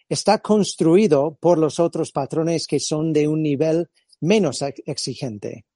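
Recorded dry and close with no echo, a man with an American accent and a fairly high pitch speaks very slowly with a dark, mellow tone and lively intonation. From California. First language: English (speaking Spanish). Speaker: physiotherapist and movement-screening instructor. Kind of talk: interview. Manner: halting.

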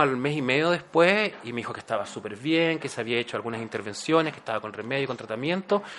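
A man speaks at a very fast pace with a medium pitch, lively intonation and big swings in loudness. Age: 40s. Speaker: actor and HIV awareness YouTuber. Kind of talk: interview.

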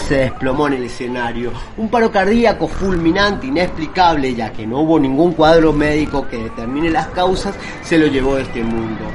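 A man talks at a moderate pace with a fairly high pitch and lively intonation. Noticeable background noise can be heard. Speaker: podcast host and poetry reader. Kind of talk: poetry reading, spoken word.

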